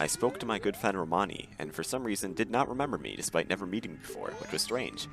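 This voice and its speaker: Over background music, a man with a fairly low pitch talks very fast with lively intonation and hardly any pauses. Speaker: gaming video narrator. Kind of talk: scripted gameplay commentary.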